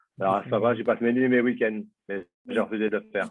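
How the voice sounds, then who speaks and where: Fairly even intonation carries a man's words at a very fast pace. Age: 60s. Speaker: doctor. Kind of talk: questions in a webinar.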